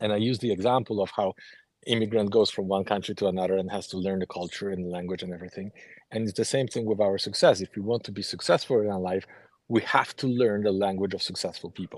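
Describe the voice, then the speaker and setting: A man with a Polish accent at a very fast pace, fairly even intonation and a quiet background. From Poland. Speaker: author, ex-Jehovah's Witness. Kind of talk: group discussion.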